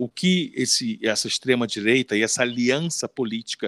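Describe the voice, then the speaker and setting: This man has a plain, everyday voice at a medium pitch with lively intonation. The sound is dry and close, with no echo. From Rio de Janeiro, Brazil (Leme). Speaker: podcast host. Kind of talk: casual chat.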